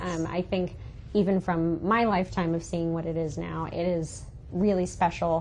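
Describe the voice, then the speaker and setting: With a fairly low pitch, a woman talks at a moderate pace in a monotone, flat intonation. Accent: American. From South Carolina Lowcountry, Bluffton. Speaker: magazine representative. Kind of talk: podcast interview. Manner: casual, many fillers.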